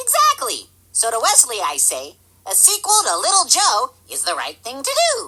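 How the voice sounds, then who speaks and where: This is a cartoonish character voice. The pitch sits extremely high. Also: moderate pace. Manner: cheerful, naive.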